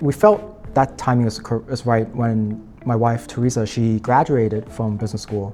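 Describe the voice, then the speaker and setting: Over music in the background, a man with an American accent speaks at a moderate pace and medium pitch with fairly even intonation. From Boston, US, and Beijing. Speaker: alumni association president. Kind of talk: interview. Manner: hesitant, many fillers.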